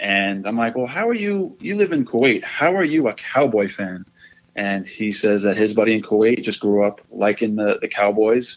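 A normal speaking voice from a man, medium in pitch, at a moderate pace with ordinary pitch variation. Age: 20s. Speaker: cigar podcast host. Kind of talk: casual chat.

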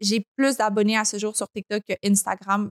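In a dry, close sound with no echo, a woman speaks at a moderate pace with a fairly high pitch. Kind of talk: casual interview chat.

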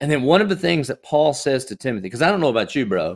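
On a very clean recording with a silent background, a man speaks in a Southern US accent with lively intonation. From US South. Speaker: pastor. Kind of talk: casual chat. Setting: studio.

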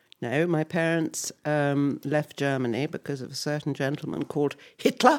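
A woman with a southern English accent speaks at a very deep, low pitch. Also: ordinary pitch variation, moderate pace. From England, Harpenden near London. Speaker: musician's mother. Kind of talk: casual chat. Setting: at home.

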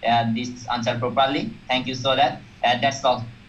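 Audible room echo surrounds a man speaking at a medium pitch in a monotone, flat intonation. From Bangladesh. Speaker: student asking questions. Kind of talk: live Q&A question. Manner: halting, many fillers.

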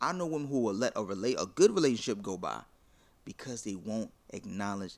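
The man's intonation is lively. He speaks at a fairly quick pace. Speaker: podcast host. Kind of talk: casual banter debate.

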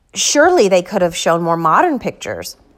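The pace of this woman's speech is moderate. Her recording is very clean, and the background is silent. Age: 30s. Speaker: brain surgery survivor podcaster. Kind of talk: personal storytelling monologue. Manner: casual with many filler words.

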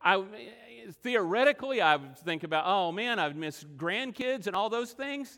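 A man's raised, projected voice has a bright, sharp tone and very wide pitch swings. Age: 50s. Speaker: preacher. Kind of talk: sermon. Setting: church.

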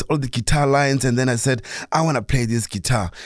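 Man's voice with ordinary pitch variation on a very clean recording, silent background. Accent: South African. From South Africa, Soweto (born in Limpopo). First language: Sepedi. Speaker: jazz guitarist and music educator. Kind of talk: radio interview. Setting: radio studio. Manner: hesitant, many fillers.

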